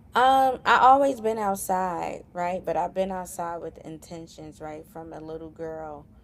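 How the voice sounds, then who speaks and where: The speaker moves at a fairly slow pace with lively intonation and big swings in loudness, in a very clean recording with a silent background. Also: woman, fairly low pitch for a woman. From New York, Southeast Queens. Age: 30s. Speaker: entrepreneur and school administrator. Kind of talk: interview conversation.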